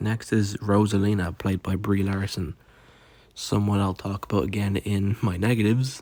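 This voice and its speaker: A man's fairly low voice, dark and mellow in tone, with monotone, flat intonation. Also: moderate pace. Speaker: movie reviewer. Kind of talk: unscripted video review. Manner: casual, filler-heavy (um, like); stuttering.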